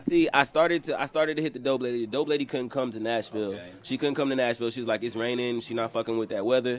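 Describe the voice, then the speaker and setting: A man talks at a very fast pace, barely pausing at all. Light background noise sits under the recording. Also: ordinary pitch variation. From Georgia, US South (Columbus). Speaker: rapper. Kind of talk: casual interview chat. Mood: relaxed, joking, candid. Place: home room. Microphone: handheld.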